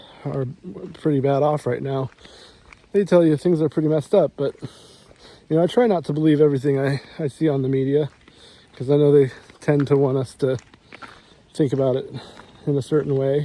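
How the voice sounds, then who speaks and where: With an American accent, a man speaks at a fairly quick pace and fairly high pitch, using fairly even intonation, long and frequent pauses, and noticeable background noise around him. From United States. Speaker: vlogger. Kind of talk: casual monologue while walking. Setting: outdoors, walking in the rain. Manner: halting, many repeated words.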